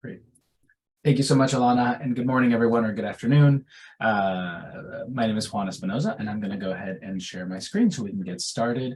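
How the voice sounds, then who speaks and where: Talking at a very fast pace, a man speaks with lively intonation. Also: medium pitch for a man. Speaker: pediatrician and researcher. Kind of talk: webinar lecture. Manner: hesitant with fillers.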